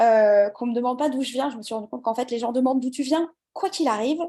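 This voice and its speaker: A woman with a high pitch and a dark, mellow tone speaks with ordinary pitch variation and big swings in loudness. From France, Le Mans. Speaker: English coach. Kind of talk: casual interview chat.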